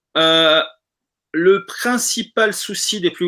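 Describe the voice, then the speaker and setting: Very clean and silent in the background, the recording holds a man's bright, sharp voice. His pitch varies in an ordinary way. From South America. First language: Spanish (speaking French). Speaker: football fan participant. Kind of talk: casual live discussion.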